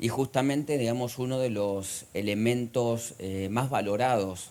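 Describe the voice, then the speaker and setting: A man with an Argentine accent, medium-pitched, at a fairly slow pace, his intonation fairly even. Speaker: economist, conference speaker. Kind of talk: conference lecture. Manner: frequent hesitations.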